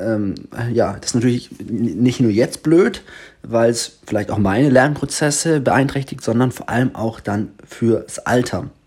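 The recording is very clean with a silent background as a man of medium pitch speaks very slowly with ordinary pitch variation. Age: 20s. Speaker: podcast host and teacher. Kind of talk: casual solo podcast monologue. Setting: indoors in a sister's apartment.

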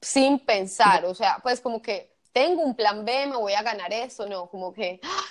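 With a Colombian Paisa accent, a woman speaks in a fairly high pitch with lively intonation. Her pace is fairly slow, with hardly any pauses. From Colombia, Medellín. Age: 30s. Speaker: kitesurf tour operator. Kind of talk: interview, personal testimony.

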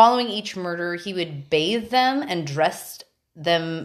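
Fairly low female voice with lively intonation, at a very slow pace. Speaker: podcast co-host. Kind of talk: casual chat. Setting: at home.

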